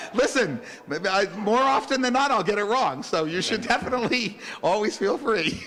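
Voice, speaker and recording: Audible room echo and noticeable background noise surround a man's extremely high pitch. He talks at a moderate pace with lively intonation. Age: 60s. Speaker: rabbi. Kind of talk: religious service. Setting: congregation service, live streamed. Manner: halting.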